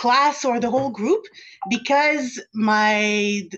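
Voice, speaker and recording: A woman with a French accent speaks in a high pitch with lively intonation. The background is quiet. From Montreal. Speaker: government official. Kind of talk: family conversation.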